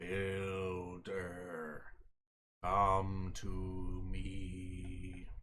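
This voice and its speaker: Putting on a character voice, a man speaks in a raspy, very deep, low pitch with monotone, flat intonation. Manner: spooky, eerie.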